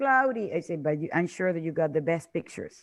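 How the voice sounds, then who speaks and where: A woman with a Spanish accent, against a quiet background. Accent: Spanish-speaking. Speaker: tour presenter. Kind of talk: sales presentation.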